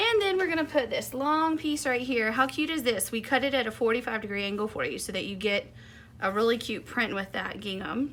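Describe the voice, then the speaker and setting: A high-pitched woman with an American accent, lively intonation and a fairly quick pace. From US South. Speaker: quilting and embroidery instructor. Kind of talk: tutorial. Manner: chatty, upbeat.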